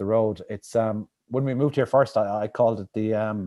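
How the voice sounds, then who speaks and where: A man talks with a Limerick accent at a fairly quick pace. His pitch shifts an ordinary amount. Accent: Irish (Limerick). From Ireland, Limerick City. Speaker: author. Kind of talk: interview. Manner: fast; halting, many repetitions.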